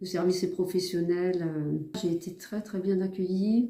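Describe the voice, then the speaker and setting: Her voice sits at a medium pitch, with a dark, mellow tone, as the woman speaks in a monotone, flat intonation. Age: 60s. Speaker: patient. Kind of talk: testimony. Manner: hesitant, many filler sounds.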